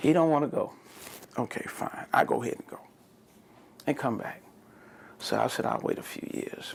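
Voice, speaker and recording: A man at a moderate pace. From Texas, San Antonio. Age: 60s. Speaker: oral history interviewee. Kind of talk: oral history interview.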